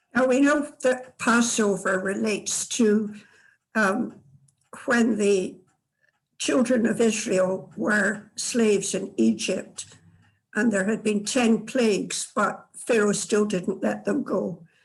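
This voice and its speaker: A woman speaks very slowly in a Scottish accent, somewhat breathy. Her intonation is fairly even and her loudness very even. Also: medium pitch for a woman. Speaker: tour participant. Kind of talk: casual answer in group session. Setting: video call.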